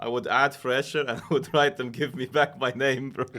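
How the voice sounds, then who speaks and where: With a Swiss German accent, a man speaks in a bright, sharp tone at a moderate pace in a very clean recording with a silent background. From Switzerland (German-speaking). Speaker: streamer. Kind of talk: casual chat.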